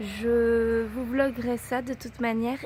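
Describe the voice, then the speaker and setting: The woman's pitch is fairly high. She talks at a very slow pace. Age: 20s. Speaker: vlogger. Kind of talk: casual talk to camera.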